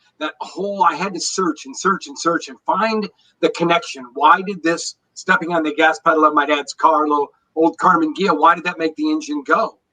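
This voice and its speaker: In a high pitch and a bright, sharp tone, a man speaks with big swings in loudness, the sound dry and close with no echo. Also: ordinary pitch variation, moderate pace. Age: 60s. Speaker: energy wellness expert, former engineer. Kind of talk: interview.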